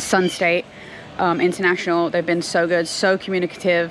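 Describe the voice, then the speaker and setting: A woman with a plain, everyday voice and a fairly low pitch talks at a moderate pace, in a dry sound with no echo and light background noise. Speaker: family vlogger. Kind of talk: casual vlog chat. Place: garden. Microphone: phone near.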